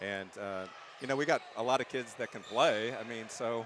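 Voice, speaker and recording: Noticeable background noise sits behind the speaker. He is a man with ordinary pitch variation. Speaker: basketball coach. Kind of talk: post-game interview. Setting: gym. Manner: loud.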